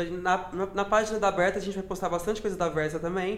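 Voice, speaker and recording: A man speaks at a high pitch with monotone, flat intonation. Background noise is noticeable. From Brazil, Minas Gerais. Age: 20s. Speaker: DJ and party organizer. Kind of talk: casual interview chat. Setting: at home.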